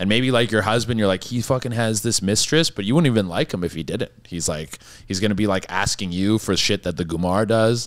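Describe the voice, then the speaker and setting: Speaking at a fairly quick pace with hardly any pauses, a man uses a fairly low pitch and ordinary pitch variation. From Canada. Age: 30s. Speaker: comedian. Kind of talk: casual chat.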